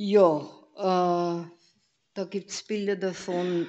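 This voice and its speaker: A woman at a very slow pace, her intonation monotone and flat. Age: 80s+. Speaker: church member giving testimony. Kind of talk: testimony. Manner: halting.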